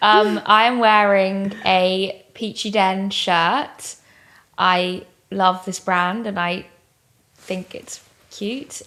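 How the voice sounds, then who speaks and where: The voice carries an English accent and a bright, sharp tone, moving at a very slow pace with long, frequent pauses. Intonation stays fairly even while loudness swings widely. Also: woman. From England. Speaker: comedian and interviewer. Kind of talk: podcast interview answer. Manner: dry, deadpan.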